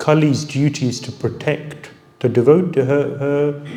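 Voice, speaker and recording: In a room with audible echo and noticeable background noise, a man with a fairly high pitch speaks slowly-ish, at a fairly slow pace, with fairly even intonation. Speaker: spiritual teacher. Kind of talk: lecture.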